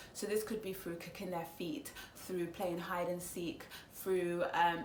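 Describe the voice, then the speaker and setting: Amid noticeable background noise and audible room echo, a woman with a Congolese accent speaks at a fairly slow pace with a fairly low pitch. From Congo, raised speaking Lingala and French, schooled in English. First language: Lingala. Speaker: psychology student and vlogger. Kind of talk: casual explanatory vlog. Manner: hesitant, many fillers.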